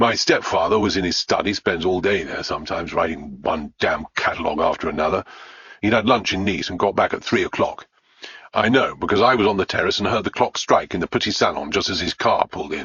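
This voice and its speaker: Gruff and fairly low in pitch, a man rattles off lines at a very fast pace in a put-on character voice. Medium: read story. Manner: gruff, blunt.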